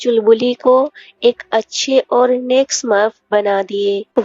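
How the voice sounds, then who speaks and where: Over music in the background, a woman talks in a high pitch with fairly even intonation. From Odisha, India. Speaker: movie recap narrator. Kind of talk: movie plot summary voiceover.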